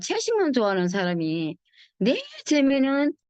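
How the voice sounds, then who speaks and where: Pitch swings very widely against a quiet background. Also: woman. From Busan. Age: 70s. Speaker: network marketing distributor. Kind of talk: testimonial talk on online meeting.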